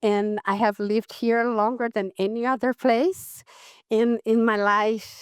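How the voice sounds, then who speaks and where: In a very clean recording with a silent background and a dry, close sound with no echo, a woman with a non-native accent speaks at a very slow pace, her fairly high voice keeping fairly even intonation. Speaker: physician and public health professor. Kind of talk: conference talk. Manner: halting.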